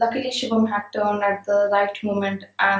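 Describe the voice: Reading aloud done plainly.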